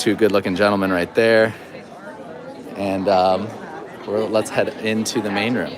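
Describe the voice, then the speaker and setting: Against crowd noise in the background and audible room echo, a man speaks at a fairly low pitch and moderate pace in a monotone, flat intonation. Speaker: event host filming a walkthrough. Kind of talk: live event walkthrough. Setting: seminar venue entry room. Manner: lowered voice.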